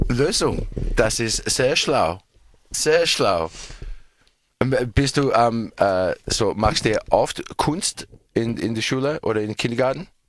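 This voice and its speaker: Speaking with a non-native accent, this voice moves at a very slow pace with lively intonation and long, frequent pauses. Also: man, medium pitch for a man. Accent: foreign, non-native German. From Australia. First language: English (speaking German). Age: 40s. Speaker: radio show host. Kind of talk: casual chat with children. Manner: halting.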